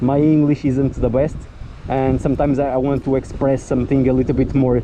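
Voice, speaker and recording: Through noticeable background noise, a man with a medium pitch speaks at a moderate pace in a monotone, flat intonation. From Portugal. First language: Portuguese. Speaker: motorcycle vlogger. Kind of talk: casual vlog review. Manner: halting, hesitant.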